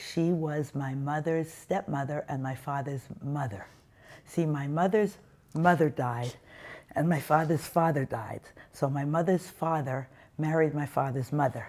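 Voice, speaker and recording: A woman's very deep, low voice with a New York accent, fairly slow pace and ordinary pitch variation, on a very clean recording with a silent background. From US Northeast, Brooklyn, New York. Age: 70s. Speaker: interviewee sharing life story. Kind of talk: testimony.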